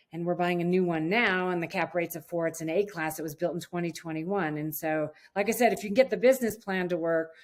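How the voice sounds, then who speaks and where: Her pitch fairly low with ordinary variation, a woman talks in an ordinary speaking voice. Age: 60s. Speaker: real estate investor. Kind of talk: interview. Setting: call.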